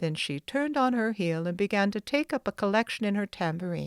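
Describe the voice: Someone reads aloud plainly, with lively intonation.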